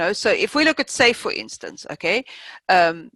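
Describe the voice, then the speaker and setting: At a moderate pace, a woman with a non-native accent speaks on a very clean recording with a silent background and a dry, close sound with no echo. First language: not English. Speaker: agile coach, session facilitator. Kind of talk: open workshop discussion. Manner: hesitant, many fillers.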